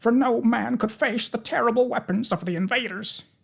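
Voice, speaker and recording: Pitched fairly high, a put-on character voice comes across with a nervous tone. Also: moderate pace. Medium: read story. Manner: nervous, deferential.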